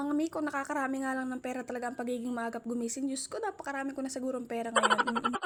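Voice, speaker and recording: Speaking at a very fast pace, a woman with a high pitch keeps her intonation fairly even. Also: hardly any pauses. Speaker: vlogger. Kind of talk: casual vlog narration. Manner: chatty.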